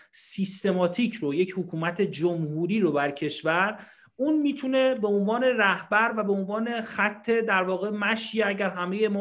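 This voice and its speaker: Here a man speaks at a high pitch. His pitch variation is ordinary. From Iran. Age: 30s. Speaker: political activist. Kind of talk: panel discussion.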